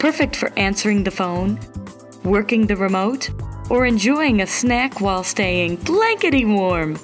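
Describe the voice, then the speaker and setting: Music plays in the background as a woman speaks at medium pitch. Her tone is upbeat and her pace fairly slow. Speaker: narrator. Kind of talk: TV infomercial read (parody). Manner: upbeat, salesy.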